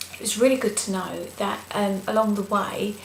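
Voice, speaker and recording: A soft-spoken woman talks at a moderate pace with medium pitch and fairly even intonation. Noticeable background noise and audible room echo are present. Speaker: vlogger. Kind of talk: video blog. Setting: at home, night.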